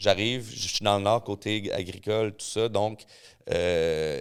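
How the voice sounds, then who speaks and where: A very slow man with a fairly low pitch and a Quebec accent, in a very clean recording with a silent background. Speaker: mixologist and rum expert. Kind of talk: casual chat. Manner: animated.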